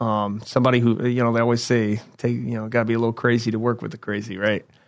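Over a quiet background, a man with a Midwestern American accent talks at a very fast pace. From Indiana. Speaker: Marine veteran, mental health worker. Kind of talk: interview.

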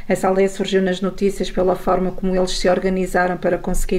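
A woman's medium-pitched, flat monotone voice over noticeable background noise. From northern Portugal, Mesão Frio. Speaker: journalist. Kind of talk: radio interview.

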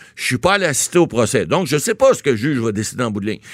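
This man's voice shows very wide pitch swings. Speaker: lawyer, legal commentator. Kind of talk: casual radio interview. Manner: halting, with many repeated words.

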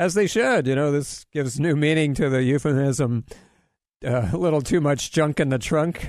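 Against a quiet background, a man with a plain, everyday voice speaks at a moderate pace and very even loudness, his fairly high pitch showing ordinary variation. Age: 60s. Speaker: health radio host. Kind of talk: radio talk show. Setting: studio. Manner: jokey, laughs often.

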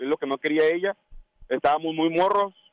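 This man's voice is high-pitched, and its pitch varies in an ordinary way. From Guadalajara, Mexico. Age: 30s. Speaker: caller. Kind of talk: casual chat.

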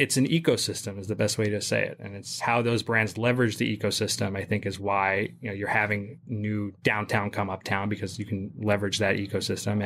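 In a very clean recording with a silent background, a fairly low-pitched man races along at a very fast pace with fairly even intonation. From England (born New York, moved at ten). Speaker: commercial real estate broker. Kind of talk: roundtable discussion.

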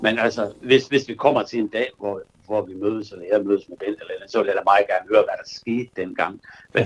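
Speaking at a fairly quick pace, a man shows big swings in loudness. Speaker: childhood friend. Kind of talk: phone conversation. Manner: halting.

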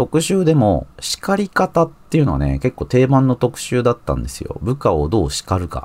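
Moderate speed and very wide swings in pitch from a man. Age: 40s. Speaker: magazine editor and podcast host. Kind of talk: solo commentary podcast.

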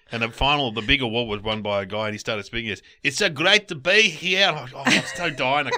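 A man talks very fast with an Australian accent, his tone bright and sharp. His pitch swings very widely. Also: medium pitch for a man, hardly any pauses. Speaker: podcast co-host. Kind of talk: casual banter.

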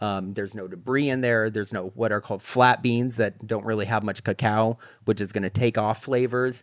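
Speaking at a fairly quick pace in a normal speaking voice, a man with an American accent keeps a fairly low pitch and fairly even intonation on a very clean recording with a silent background. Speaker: chocolatier and shop founder. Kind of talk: casual interview.

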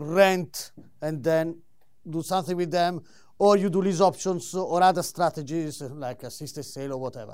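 Using an Italian accent, a man with a high pitch and ordinary pitch variation speaks at a fairly slow pace. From Italy. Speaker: solicitor and property investor. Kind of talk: live presentation. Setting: stage with audience. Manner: animated.

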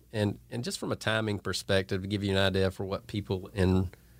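Spoken at a moderate pace in a Georgia accent, the voice comes through on a very clean recording with a silent background. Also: man. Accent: US Southern (Georgia). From Northeast Georgia, Franklin County. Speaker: clothing brand owner. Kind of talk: casual interview.

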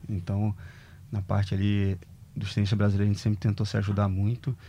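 A man speaks with a fairly low pitch, a dark, mellow tone and a somewhat breathy quality. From Brazil, Rio de Janeiro (Rocinha). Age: 30s. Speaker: former professional tennis player. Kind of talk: casual interview chat.

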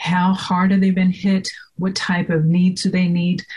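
A woman speaks at a moderate pace with a somewhat breathy, medium-pitched voice. Her tone is dark and mellow. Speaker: technology professional and board member. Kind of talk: casual interview.

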